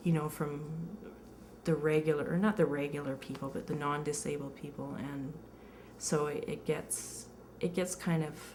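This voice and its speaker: A woman with a Canadian accent talks at a moderate pace in a very deep, low voice, leaving long, frequent pauses. Her intonation is fairly even, and the room has audible echo. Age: 30s. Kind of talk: interview testimony. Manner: halting, many fillers.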